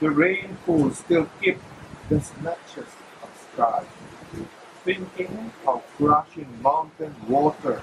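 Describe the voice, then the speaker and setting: A fairly high-pitched man at a very slow pace, with long, frequent pauses, ordinary pitch variation and noticeable background noise. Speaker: poet. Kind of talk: poetry reading.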